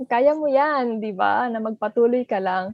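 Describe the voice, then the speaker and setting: A woman talks in an ordinary speaking voice at a moderate pace, fairly high in pitch with ordinary pitch variation. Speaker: relationship editor, co-host. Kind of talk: podcast chat.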